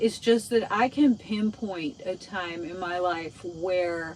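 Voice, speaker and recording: With noticeable background noise behind her, a woman of fairly low pitch talks at a very slow pace. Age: 60s. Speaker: DIY vlogger. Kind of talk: casual vlog monologue. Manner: halting.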